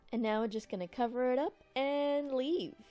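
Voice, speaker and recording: With music in the background, a woman speaks in a playful tone. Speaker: lifestyle vlogger. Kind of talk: cooking tutorial. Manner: soft-spoken; casual, playful.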